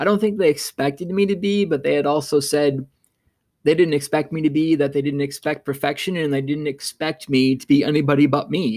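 A man talks at a fairly quick pace in a fairly high pitch, his intonation fairly even. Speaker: podcast host. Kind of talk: solo podcast monologue, casual. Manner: fast talker; reflective, conversational.

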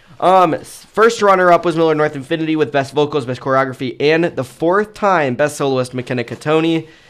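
A fairly quick speaker with ordinary pitch variation, recorded very cleanly over a silent background. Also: man, fairly high pitch for a man. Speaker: podcast host covering show choir. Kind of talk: casual chat. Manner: laughs often; stumbles over names.

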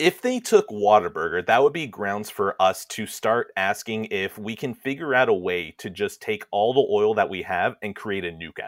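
Using an unremarkable speaking voice, a man with an American accent talks at a moderate pace in a fairly low pitch with lively intonation, big swings in loudness and hardly any pauses, the sound dry and close with no echo. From Texas. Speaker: guest co-host. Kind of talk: casual comedic chat.

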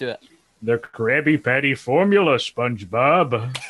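A man's put-on character voice at medium pitch, at a fairly slow pace. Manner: scheming.

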